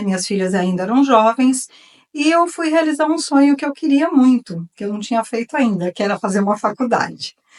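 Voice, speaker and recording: A woman speaks with lively, bouncing intonation. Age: 60s. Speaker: retired artisan. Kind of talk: talk. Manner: informal.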